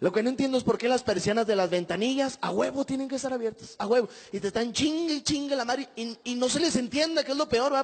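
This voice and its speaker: A man speaks at an extremely high pitch and a very fast pace with ordinary pitch variation. Hardly any pauses break it up. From Mexico, Monterrey. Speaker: stand-up comedian. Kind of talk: stand-up. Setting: stage with audience. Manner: animated. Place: stage. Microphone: handheld.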